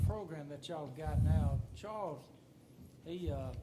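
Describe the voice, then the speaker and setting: A man's dark, mellow voice with a Southern US accent, some vocal fry, a fairly slow pace and audible room echo. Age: 60s. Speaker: county commissioner. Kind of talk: public meeting discussion. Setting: county commission meeting.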